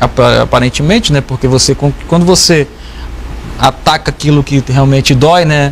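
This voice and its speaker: The speech moves at a moderate pace with very even loudness. Noticeable background noise is present. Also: man. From Brazil, Porto Velho, Rondônia. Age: 30s. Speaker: state legislator. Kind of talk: TV interview. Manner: halting.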